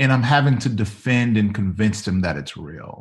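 Against a quiet background, a man with an American accent speaks at a medium pitch in a somewhat breathy voice with lively intonation. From US South, Mississippi. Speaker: pastor. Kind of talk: casual interview conversation.

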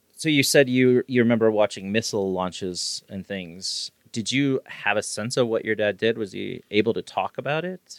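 A man with an ordinary speaking voice, medium pitch, ordinary pitch variation, a moderate pace and hardly any pauses. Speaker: podcast host. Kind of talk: casual conversational interview. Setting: home-made studio.

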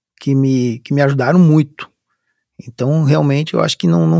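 Lively intonation marks this man's fairly high voice. The sound is dry and close, with no echo. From Brazil, Curitiba (Paraná). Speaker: army officer. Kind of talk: interview. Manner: halting.

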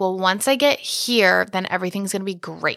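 A woman talks with a plain, everyday voice at a fairly quick pace. Her medium pitch shows ordinary variation. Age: 20s. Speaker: podcast co-host and business owner. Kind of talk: casual chat.

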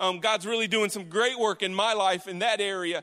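A man with an American accent uses a raised, projected voice, bright and sharp in tone, at a high pitch with monotone, flat intonation on a very clean recording with a silent background. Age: 40s. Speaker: pastor. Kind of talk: sermon.

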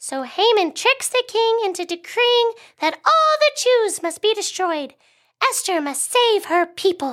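A woman puts on a squeaky character voice at an extremely high pitch, with a fairly bright tone and big pitch swings. She speaks at a fairly slow pace.

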